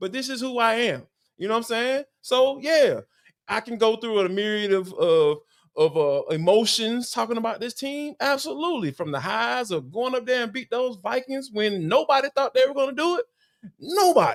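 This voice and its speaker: The speaker has an Atlanta accent, talking at a moderate pace with lively intonation. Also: man, extremely high pitch for a man. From Atlanta, Georgia. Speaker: sports analyst. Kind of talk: casual chat.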